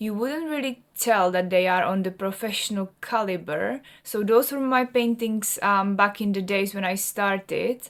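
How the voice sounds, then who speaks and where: On a very clean recording with a silent background, a woman with a Czech accent talks at a fairly slow pace with hardly any pauses. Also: medium pitch for a woman, ordinary pitch variation. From Czech Republic. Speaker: artist and vlogger. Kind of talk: personal vlog talk.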